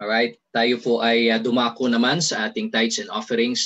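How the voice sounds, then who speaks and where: Against a quiet background, a man talks in a monotone with flat intonation. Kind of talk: sermon-like exhortation. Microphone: video call.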